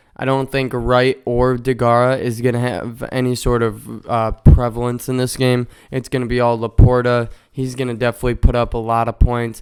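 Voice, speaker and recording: The speaker has an American accent and a monotone, flat delivery at a moderate pace. Background noise is noticeable. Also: man, medium pitch for a man. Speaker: fantasy football podcaster. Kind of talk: casual sports analysis.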